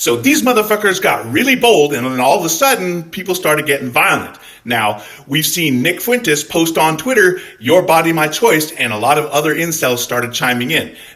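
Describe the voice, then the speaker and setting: There's noticeable background noise as a man talks at a moderate pace. His tone is animated, with very wide pitch swings. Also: fairly high pitch for a man. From Scotland. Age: 40s. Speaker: army veteran and political commentator. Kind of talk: angry reaction monologue.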